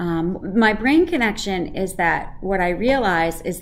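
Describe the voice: Plain reading aloud comes with lively intonation.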